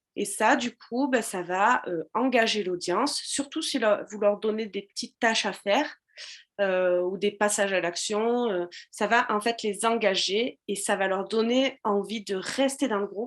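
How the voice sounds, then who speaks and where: The pace is fairly slow and the pitch variation ordinary, all against a quiet background. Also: woman, fairly high pitch for a woman. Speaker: social media business coach. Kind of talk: live stream tutorial. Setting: live video stream with chat. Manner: hesitant with many fillers.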